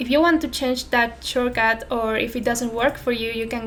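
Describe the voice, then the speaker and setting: A moderate pace in a Spanish accent, with noticeable background noise. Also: woman. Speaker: software tutorial creator. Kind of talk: tutorial. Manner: unscripted, somewhat careful non-native speech.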